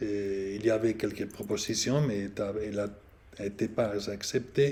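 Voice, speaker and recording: A man's voice, dark and mellow in tone, with ordinary pitch variation. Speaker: priest and canon law professor. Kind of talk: lecture. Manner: halting.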